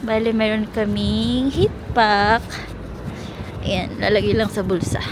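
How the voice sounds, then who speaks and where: Noticeable background noise runs through the clip. Her delivery as a woman is very slow. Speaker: travel vlogger. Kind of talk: travel vlog narration. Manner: lowered voice.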